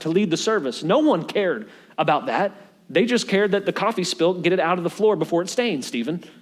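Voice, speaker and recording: Talking at a very fast pace, a man with a high pitch uses lively intonation and an animated tone. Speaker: pastor. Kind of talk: sermon preached to a congregation. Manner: animated, humorous, conversational.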